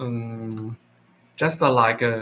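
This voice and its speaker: A man with a Chinese accent, a medium pitch, a bright, sharp tone and a flat, monotone delivery. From China. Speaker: English learner livestreamer. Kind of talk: casual chat. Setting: livestream talking to AI app. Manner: halting, many fillers.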